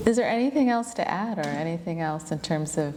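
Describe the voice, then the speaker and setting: Audible room echo surrounds a woman who speaks at a fairly low pitch with ordinary pitch variation. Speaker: yoga teacher and interviewer. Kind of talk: casual interview conversation. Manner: fluent, flowing.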